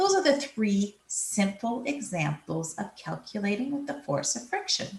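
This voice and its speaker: A woman with a fairly high pitch and vocal fry talks at a fairly slow pace with hardly any pauses, her pitch swinging very widely. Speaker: physics teacher. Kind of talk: recorded lesson. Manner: explanatory, measured.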